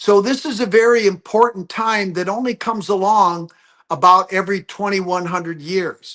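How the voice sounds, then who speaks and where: With an American accent, a man speaks at a moderate pace in a high, bright, sharp voice with ordinary pitch variation. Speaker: geologist. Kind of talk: interview. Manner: animated.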